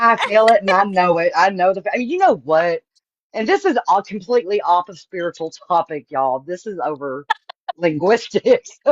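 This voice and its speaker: With a Southern accent and lively intonation, a woman is heard in a dry, close sound with no echo. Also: medium pitch for a woman, moderate pace, big swings in loudness. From Texas. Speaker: astrologer. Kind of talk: casual chat.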